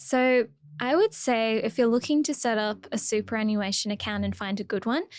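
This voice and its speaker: Speaking with an Australian accent, a woman keeps a moderate pace and a fairly high pitch with ordinary variation, captured in a very clean recording against a silent background. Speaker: finance podcast co-host. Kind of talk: casual chat.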